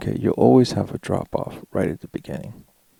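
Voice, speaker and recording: The recording of this man is dry and close. No echo can be heard. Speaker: YouTuber. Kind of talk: tutorial.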